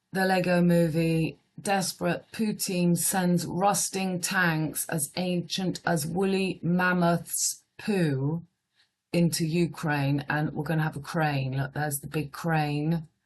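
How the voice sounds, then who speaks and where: A woman speaks at a very slow pace. Her pitch sits fairly low, and she has a British accent. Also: fairly even intonation. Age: 50s. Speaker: astrologer. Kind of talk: casual monologue reading headlines. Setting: at home. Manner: quiet.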